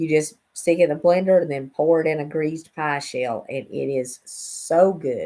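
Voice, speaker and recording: With an Appalachian accent, a woman speaks in a very deep, low pitch and fairly even intonation. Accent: Southern US (Appalachian). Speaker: cooking channel host. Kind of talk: casual livestream talk.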